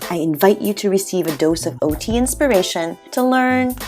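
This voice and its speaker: A woman speaks at a moderate pace and a medium pitch, her pitch swinging very widely over background music. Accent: New York. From New York. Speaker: occupational therapist, podcast host. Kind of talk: podcast intro.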